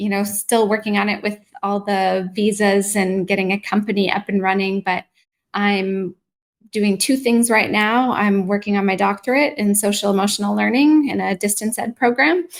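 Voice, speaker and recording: A woman with a Canadian accent and an ordinary speaking voice, medium in pitch, at a moderate pace with fairly even intonation. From Canada, near Toronto. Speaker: mindfulness practitioner and educator. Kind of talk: live online interview.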